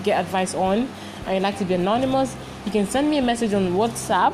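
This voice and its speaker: A woman with a Nigerian accent speaks at a medium pitch. Her pace is fairly quick, and there is noticeable background noise. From Nigeria (Lagos). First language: Igbo. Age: 20s. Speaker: podcast host and university student. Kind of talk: casual podcast intro and monologue. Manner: chatty, animated, informal.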